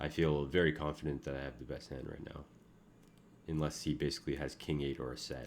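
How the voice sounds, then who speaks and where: A man's very deep, low voice, mumbling at a very fast pace with vocal fry and a monotone, flat intonation. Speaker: online poker player streaming. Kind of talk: casual live commentary while playing. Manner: uneven volume.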